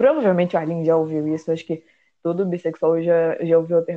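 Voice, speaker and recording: A woman's voice has a dark, mellow tone. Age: 20s. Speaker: journalism student and club president. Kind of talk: casual chat. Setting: late-night recorded conversation.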